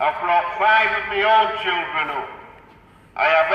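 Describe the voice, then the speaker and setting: High male voice with ordinary pitch variation, audible room echo and noticeable background noise. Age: 60s. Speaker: protester, grandparent campaigning against adoption. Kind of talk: protest speech to passers-by. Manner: emphatic, forceful.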